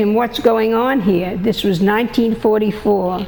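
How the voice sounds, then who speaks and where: The speaker talks with an American accent and ordinary pitch variation. Noticeable background noise runs underneath. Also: woman. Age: 90s. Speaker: peace activist. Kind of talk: interview testimony. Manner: halting.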